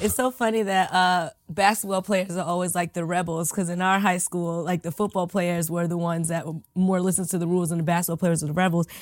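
A woman with a fairly low pitch speaks at a very fast pace with hardly any pauses. Her intonation is monotone and flat, on a very clean recording with a silent background. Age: 30s. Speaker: podcast co-host. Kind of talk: casual chat.

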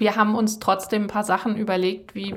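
A woman's flat, monotone intonation comes through over noticeable background noise. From Germany, Kassel (Hesse). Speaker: podcast host. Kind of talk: interview. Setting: office.

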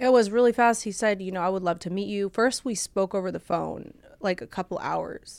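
Woman at medium pitch with a Californian accent and a fairly quick pace, on a very clean recording with a silent background. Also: ordinary pitch variation. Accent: Californian American. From Orange County, California (born in Bulgaria). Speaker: podcast guest, ex-fiancee of a late singer. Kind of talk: emotional interview. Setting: studio. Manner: halting.

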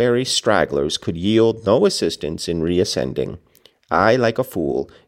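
The speaker reads in an unforced voice, and the intonation is lively.

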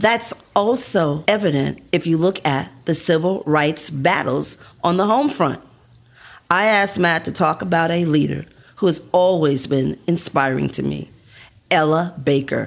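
With an American accent, a woman speaks at a fairly slow pace in a fairly low pitch, with vocal fry and lively intonation. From New York City (the Bronx). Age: 70s. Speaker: business school professor and podcast host. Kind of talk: scripted podcast narration and interview.

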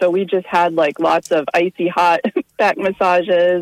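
The sound is dry and close with no echo as a woman, fairly low in pitch, talks at a moderate pace in a normal speaking voice. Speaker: caller. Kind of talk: casual chat. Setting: phone call.

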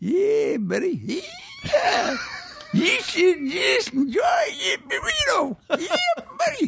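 Someone puts on a character voice, speaking at a very slow pace with very wide pitch swings. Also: man, extremely high pitch for a man. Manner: gruff, folksy.

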